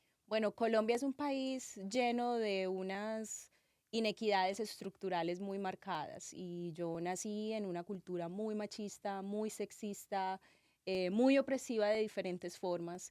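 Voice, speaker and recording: At a fairly slow pace, a woman speaks at medium pitch with ordinary pitch variation. The recording is very clean, with a silent background. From Colombian Caribbean coast (Montería, Córdoba), then Medellín from 15. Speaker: doctoral student and university lecturer. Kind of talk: interview.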